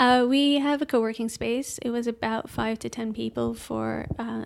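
A woman talks with a Dutch accent. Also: very clean recording, silent background. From Netherlands, Amsterdam. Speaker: software engineer. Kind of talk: casual interview chat. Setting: in person.

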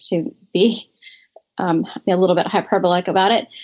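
A woman talks in a normal speaking voice with an American accent, at medium pitch. Her intonation is fairly even, and the background is quiet. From North Carolina, US South. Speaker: state legislator. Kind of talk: interview.

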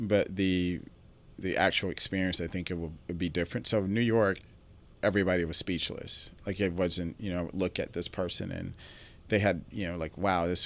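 On a very clean recording with a silent background, a man with an American accent speaks fairly quickly in a very deep, low, monotone voice. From Southwest Atlanta, Georgia. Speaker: event producer. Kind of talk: casual interview.

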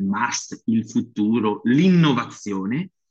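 A man with a medium-pitched voice speaks at a very slow pace with lively intonation. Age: 40s. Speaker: strength coach and physiotherapist. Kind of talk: interview. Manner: animated.

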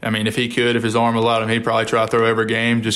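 Here a man speaks in a Mississippi accent. His intonation is flat and monotone. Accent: US Southern, Mississippi. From Mississippi, Columbia. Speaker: college baseball player. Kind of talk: interview.

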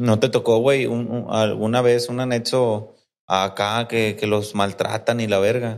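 Speaking in a Mexican accent, a man talks at a fairly slow pace and medium pitch with monotone, flat intonation. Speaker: podcast host. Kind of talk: casual interview. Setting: recording on location in Guadalajara.

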